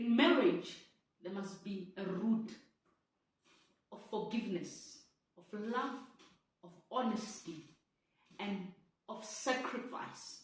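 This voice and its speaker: Audible room echo carries a woman's somewhat breathy voice at a fairly high pitch with ordinary pitch variation. She talks at a very slow pace with long, frequent pauses and big swings in loudness. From South Africa. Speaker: vlogger sharing personal story. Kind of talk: personal testimony.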